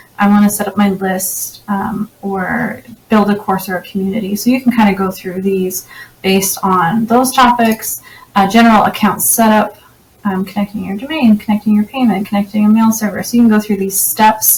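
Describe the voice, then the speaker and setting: Noticeable background noise beneath a woman speaking with fairly even intonation. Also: medium pitch for a woman. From Canada. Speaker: website designer and tech reviewer. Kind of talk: software tutorial walkthrough. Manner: fast; casual, with frequent fillers.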